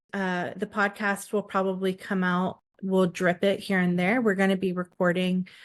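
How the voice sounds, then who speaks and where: Against a quiet background, a woman talks at a moderate pace. Her pitch is medium and her intonation monotone and flat. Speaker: podcast host. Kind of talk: casual chat. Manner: halting.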